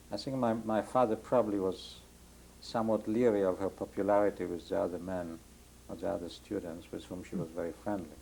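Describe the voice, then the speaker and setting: With a Polish accent, this voice has a dark, mellow tone and ordinary pitch variation. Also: man, fairly low pitch for a man. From Poland (Warsaw area). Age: 60s. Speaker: Holocaust survivor. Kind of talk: oral history interview. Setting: home interview, rain on skylight.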